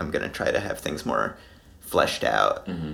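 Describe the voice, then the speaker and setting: A man speaks over noticeable background noise. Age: 20s. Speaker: musician. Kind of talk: casual chat.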